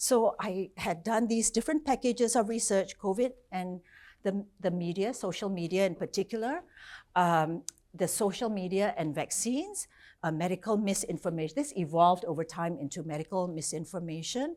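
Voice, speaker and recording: On a very clean recording with a silent background, a woman speaks at medium pitch in a dark, mellow tone with lively intonation. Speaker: professor. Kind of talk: lecture. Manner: fast.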